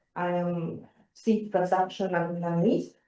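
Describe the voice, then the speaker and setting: A woman at a very slow pace, dark and mellow in tone, with fairly even intonation. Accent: Latvian. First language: Latvian. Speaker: seed production analyst. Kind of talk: conference presentation. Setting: conference hall. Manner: hesitant.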